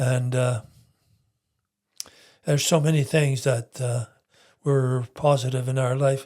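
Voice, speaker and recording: A man's dark, mellow, somewhat breathy voice, monotone and flat, at a fairly slow pace with long, frequent pauses. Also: medium pitch for a man. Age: 80s+. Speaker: retired entrepreneur. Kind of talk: interview answer. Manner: hesitant.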